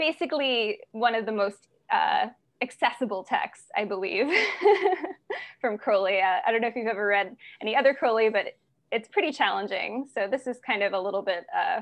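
Her intonation is lively. The woman keeps a moderate pace. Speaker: class instructor. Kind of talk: lecture introduction. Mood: enthusiastic, occasional laughs. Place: home room. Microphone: video call.

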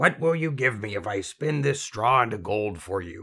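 Putting on a croaky character voice, a man speaks at a moderate pace with a medium pitch. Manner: snappish, impatient, gleeful bargaining.

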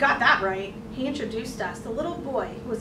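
The speaker is reading aloud in a natural voice. The pitch shows ordinary variation.

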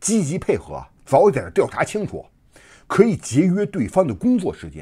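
A man with a dark, mellow tone and vocal fry speaks at a moderate pace. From mainland China. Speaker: online commentator. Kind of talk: casual monologue. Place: home room.

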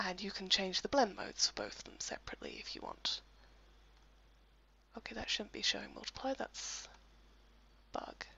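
The speaker whispers at a fairly quick pace, with long, frequent pauses. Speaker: software tutorial presenter. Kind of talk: screen-recorded software tutorial voice-over. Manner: casual, lightly humorous.

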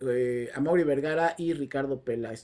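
At a moderate speed, a man talks with pitch that varies in an ordinary way. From Mexico. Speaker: football commentator. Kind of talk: solo video commentary. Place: home room. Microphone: lapel.

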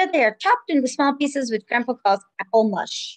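A woman speaks in a high, warm, sing-song voice at a fairly quick pace against a quiet background. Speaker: preschool teacher. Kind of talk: children's story time, reading a picture book aloud. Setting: home video recording. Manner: warm, sing-song and engaging with young children. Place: home room. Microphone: webcam.

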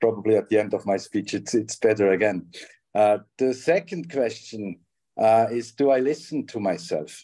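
Against a quiet background, a man with a dark, mellow tone talks at a medium pitch and a moderate pace. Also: ordinary pitch variation. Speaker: leadership trainer and coach. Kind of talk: panel discussion. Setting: video call. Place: home room. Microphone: video call.

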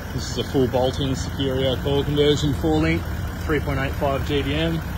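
A man speaks over noticeable background noise. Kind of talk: casual vlog chat. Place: garage. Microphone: phone near.

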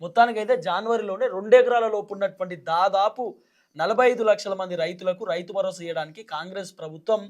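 A man with a Telangana accent, high in pitch, with fairly even intonation. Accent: Telangana Telugu. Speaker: YouTube news commentator. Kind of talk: political commentary monologue.

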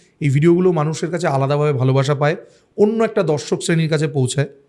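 With fairly even intonation, a man talks in an ordinary speaking voice. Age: middle-aged. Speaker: food and travel vlogger. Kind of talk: podcast interview.

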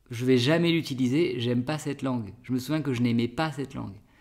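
Against a quiet background, a man talks at a medium pitch. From France, Bordeaux; France. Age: 30s. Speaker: French teacher, YouTuber; French teacher, vlogger. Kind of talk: casual Q&A vlog. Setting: outdoors, public garden. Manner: hesitant, with fillers. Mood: relaxed, friendly. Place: home room.

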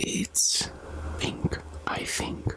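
Someone whispers at a very slow pace. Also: woman. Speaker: ASMR mukbang creator. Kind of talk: ASMR eating talk to camera. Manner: soft-spoken, whispering. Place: home room. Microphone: studio mic.

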